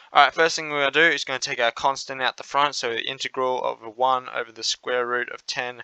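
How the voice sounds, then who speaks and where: Medium-pitched man with an Australian accent, a bright, sharp tone, a moderate pace and a dry, close sound with no echo. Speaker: maths tutor. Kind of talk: tutorial.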